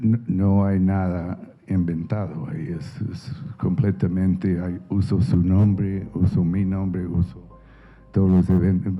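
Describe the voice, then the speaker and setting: A man with a very deep, low pitch speaks very slowly amid noticeable background noise. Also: ordinary pitch variation. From United States. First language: English (speaking Spanish). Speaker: novelist. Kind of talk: interview. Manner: halting, many repetitions.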